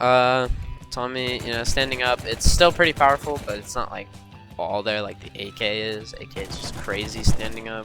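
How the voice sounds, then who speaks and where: Moderately paced speech with music in the background. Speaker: gamer. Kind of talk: casual gameplay tutorial commentary. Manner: casual, hesitant.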